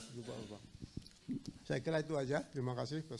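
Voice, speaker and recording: A man's voice sits fairly high in pitch and shows ordinary pitch variation. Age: 60s. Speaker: agriculture training participant, retired accountant. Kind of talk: self-introduction in a group. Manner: halting.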